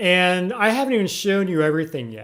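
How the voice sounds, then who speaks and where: A man talks at a moderate speed. The recording is very clean against a silent background. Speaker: tech YouTuber. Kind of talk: tutorial.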